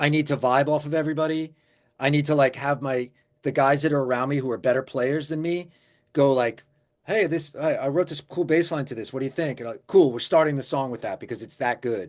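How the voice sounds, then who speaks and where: Over a quiet background, a man with an American accent speaks in a normal speaking voice, fairly high-pitched and fairly even in intonation, at a fairly quick pace. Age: 50s. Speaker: musician. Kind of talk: interview.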